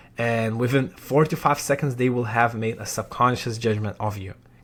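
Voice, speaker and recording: In a very clean recording with a silent background, a man talks with a non-native accent. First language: not English. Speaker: sales coach. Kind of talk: tutorial. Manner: halting.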